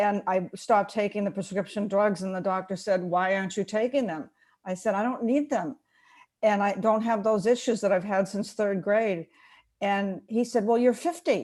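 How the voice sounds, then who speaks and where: At a moderate pace, a woman talks in an ordinary speaking voice, her medium pitch varying in an ordinary way. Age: 60s. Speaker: product user sharing testimony. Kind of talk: testimony.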